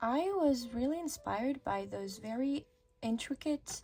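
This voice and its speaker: Speaking at a very slow pace, a woman uses lively intonation and a dark, mellow tone. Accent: French. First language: French. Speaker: art youtuber. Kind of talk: casual voiceover narration.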